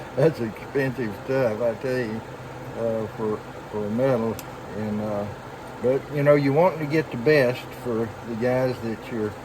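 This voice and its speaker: A man with a Southern US accent speaks fairly slowly at medium pitch, with long, frequent pauses. His intonation is fairly even against noticeable background noise. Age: 70s. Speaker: knifemaker. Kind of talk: tutorial. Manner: halting.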